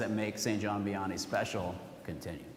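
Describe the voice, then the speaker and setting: A man at a fairly slow pace, amid noticeable background noise and audible room echo. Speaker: school principal. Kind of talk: parent meeting address. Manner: casual, with fillers.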